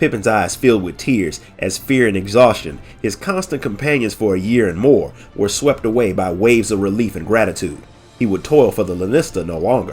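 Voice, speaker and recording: Speaking at a fairly quick pace, a man uses a plain, everyday voice, fairly low in pitch with ordinary pitch variation. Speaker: lore narrator. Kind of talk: audiobook story reading. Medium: read story.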